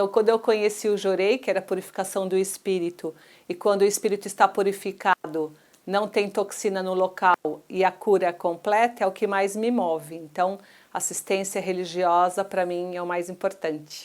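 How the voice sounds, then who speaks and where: The speaker is a woman with a medium pitch. Her intonation is monotone and flat. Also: moderate pace. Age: 60s. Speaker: church minister and physical educator. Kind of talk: testimony.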